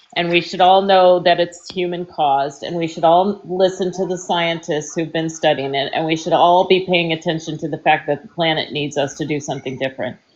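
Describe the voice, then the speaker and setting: A plain, everyday voice. The pace is fairly quick. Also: woman, fairly low pitch for a woman, fairly even intonation, hardly any pauses. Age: 60s. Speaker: political talk stream host. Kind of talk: heated debate. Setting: live social media audio panel.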